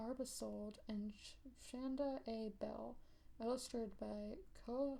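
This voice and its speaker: A soft-spoken woman talks with an American accent. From South Carolina. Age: 20s. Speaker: ASMR creator. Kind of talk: ASMR storybook reading.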